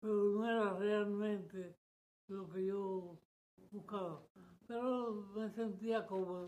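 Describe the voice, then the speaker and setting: A dark, mellow tone at a very slow pace. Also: man. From Dominican Republic, Santo Domingo. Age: 90s. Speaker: church member giving testimony. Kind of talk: testimony. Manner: halting.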